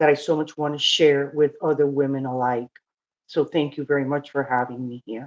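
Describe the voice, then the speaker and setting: In a very deep, low voice, a woman talks at a fairly quick pace with monotone, flat intonation. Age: 60s. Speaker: domestic abuse survivor. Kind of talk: testimony. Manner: halting.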